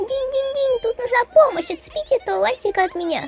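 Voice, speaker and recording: Talking very fast, a woman uses lively intonation at an extremely high pitch. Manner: fretful, complaining, then relieved.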